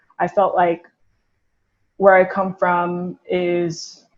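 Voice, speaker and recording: This woman's voice sits at a medium pitch, with fairly even intonation. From South Korea. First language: Korean. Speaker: podcast guest. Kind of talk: casual chat.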